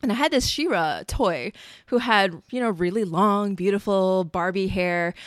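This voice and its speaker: A woman's medium-pitched voice, an unremarkable speaking voice, with lively intonation at a moderate pace on a very clean recording with a silent background. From born in Singapore, raised in the US. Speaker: belly dancer and performance company founder. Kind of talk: casual chat.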